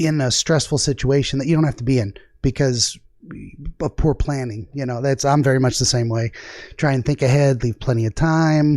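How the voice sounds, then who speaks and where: A man with a dark, mellow tone talks fairly quickly at medium pitch with fairly even intonation. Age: 40s. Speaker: dream interpretation channel host. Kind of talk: casual chat.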